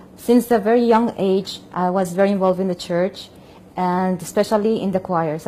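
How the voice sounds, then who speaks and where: In a Spanish accent, a woman speaks at a medium pitch with a dark, mellow tone. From Colombia. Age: 40s. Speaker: opera singer and convert. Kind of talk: testimony. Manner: halting, frequent repetitions.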